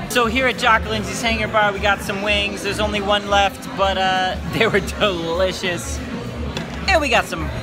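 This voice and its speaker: Over clear background music, a man talks at a moderate pace in a raised, projected voice. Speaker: vlogger. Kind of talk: casual vlog chat. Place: bar. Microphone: phone near.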